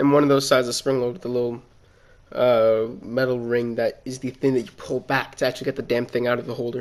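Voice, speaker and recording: A man speaks at a fairly quick pace in an animated tone. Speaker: YouTuber and engineering student. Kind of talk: casual rant. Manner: animated, loud; halting, filler-heavy.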